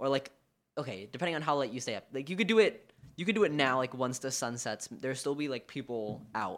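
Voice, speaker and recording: In a very clean recording with a silent background, a man with a plain, everyday voice speaks at medium pitch with lively intonation. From New York City (Manhattan). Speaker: student, musician. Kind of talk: casual chat.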